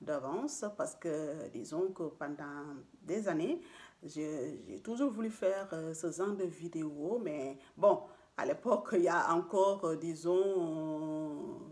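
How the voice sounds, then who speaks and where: Speaking very slowly with a non-native accent, a woman uses a fairly low pitch and ordinary pitch variation. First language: not French (speaking French). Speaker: beautician and beauty vlogger. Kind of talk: casual vlog monologue. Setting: at home. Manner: halting, many fillers.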